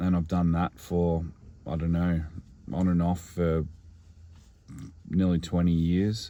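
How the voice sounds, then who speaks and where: This man has a very deep, low pitch and a dark, mellow tone. He speaks at a fairly slow pace in a monotone, flat intonation with very even loudness. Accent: Australian. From Australia, regional Victoria. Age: 30s. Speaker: singer-songwriter. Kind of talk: personal vlog monologue. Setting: in a car. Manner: hesitant, with many fillers.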